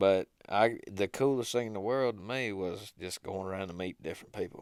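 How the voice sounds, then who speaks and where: A man with an American accent speaks in a fairly low pitch at a moderate pace, with ordinary pitch variation. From US South, Georgia, near Athens. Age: 20s. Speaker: hunting videographer. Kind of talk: interview, casual chat. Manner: low-key, easy-going.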